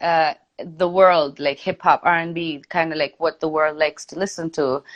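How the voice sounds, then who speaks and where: In a dry, close sound with no echo and a quiet background, a woman with an Indian accent speaks at a fairly slow pace in an animated tone and fairly low pitch. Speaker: singer-songwriter and DJ. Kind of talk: interview on a live stream. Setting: Instagram live video call.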